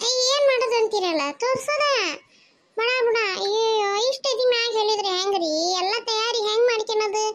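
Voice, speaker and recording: A cartoonish character voice speaks at a moderate pace. The loudness stays very even. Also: woman, extremely high pitch for a woman. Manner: quick, defensive.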